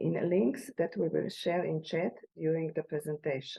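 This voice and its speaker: A woman with a Slovenian accent speaks at a fairly slow pace. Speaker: sustainability expert presenter. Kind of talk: presentation. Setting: online event.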